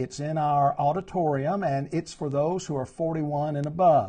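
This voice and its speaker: A man with a dark, mellow, somewhat breathy tone and fairly even intonation against a quiet background. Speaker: preacher. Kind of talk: church announcements and Bible study talk. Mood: warm, earnest. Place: home room. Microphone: lapel.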